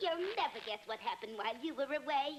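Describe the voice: Very fast and high-pitched, a woman performs a cartoonish character voice with very wide pitch swings over clear background noise.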